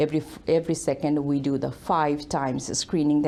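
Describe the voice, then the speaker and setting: The speaker has a Bangladeshi accent and a dark, mellow tone. The pace is fairly quick, with fairly even intonation. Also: woman. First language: Bengali. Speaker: author and leadership speaker. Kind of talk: TV interview. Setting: studio.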